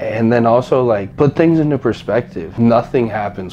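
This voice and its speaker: Noticeable background noise runs through the clip. The speaker is a man in an American accent. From Wyoming, US. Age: 20s. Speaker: bodybuilder. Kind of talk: motivational talk. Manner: casual.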